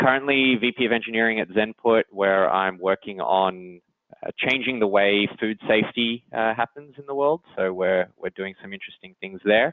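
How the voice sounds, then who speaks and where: In an Australian accent, a man speaks at a moderate pace and fairly low pitch, with ordinary pitch variation and big swings in loudness. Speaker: engineering executive. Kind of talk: interview. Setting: podcast.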